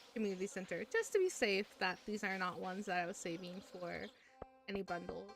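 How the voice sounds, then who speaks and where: A woman of medium pitch with an American accent, fairly quick pace and monotone, flat intonation, music in the background. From US Midwest. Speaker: streamer. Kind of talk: casual gaming livestream chat. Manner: rambling, hesitant with fillers.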